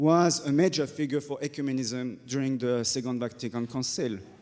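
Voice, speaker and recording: A man speaks with a French accent at a medium pitch. His intonation is fairly even, and his pace is moderate. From France. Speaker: Dominican friar. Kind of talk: panel discussion.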